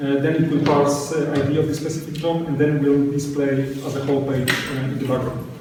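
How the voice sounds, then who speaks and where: A fairly high-pitched man talking fast and flat in a monotone, with hardly any pauses, amid noticeable background noise and audible room echo. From Poland. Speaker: software developer, conference speaker. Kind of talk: tech talk Q&A. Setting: stage with audience. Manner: halting.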